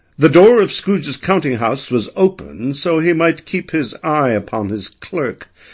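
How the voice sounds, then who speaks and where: A man with an American accent speaks at a fairly slow pace, his pitch swinging very widely. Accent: educated American. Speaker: audiobook narrator. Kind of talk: audiobook narration of classic fiction. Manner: spirited, expressive.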